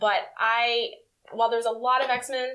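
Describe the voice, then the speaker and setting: A woman with an American accent, fairly high in pitch and bright, sharp in tone, at a moderate pace. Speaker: podcast host. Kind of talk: casual chat.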